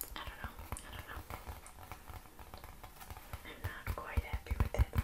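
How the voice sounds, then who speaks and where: A woman is whispering at a fairly slow pace. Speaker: asmr creator. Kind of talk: soft casual chat. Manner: soft close-mic ASMR murmur. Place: home room.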